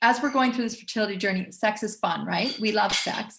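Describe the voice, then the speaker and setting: The speaker is a woman with a somewhat breathy voice. Her intonation stays fairly even. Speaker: essential oils educator. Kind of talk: webinar presentation with sales pitch.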